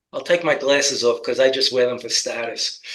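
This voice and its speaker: With a New York accent, a man is talking. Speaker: political commentator. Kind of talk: political talk show discussion.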